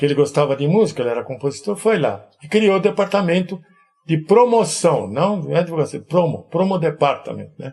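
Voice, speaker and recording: A man talks at a fairly quick pace. His high-pitched voice has lively intonation. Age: 80s+. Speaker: amplifier and electronics builder. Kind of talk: interview. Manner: casual, anecdotal.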